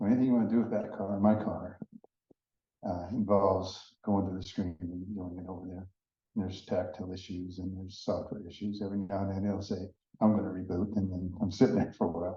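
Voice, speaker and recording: A man with a fairly low pitch speaks at a very fast pace in a flat, monotone way. His somewhat breathy voice swings widely in loudness, and the room echo is audible. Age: 70s. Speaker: EV owner panelist. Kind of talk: panel discussion. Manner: halting.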